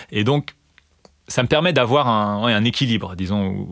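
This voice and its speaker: A man's fairly low voice with lively intonation, dry and close with no echo. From eastern France (Vosges). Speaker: mathematics lecturer and researcher. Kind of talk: interview. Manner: halting, many fillers and repetitions.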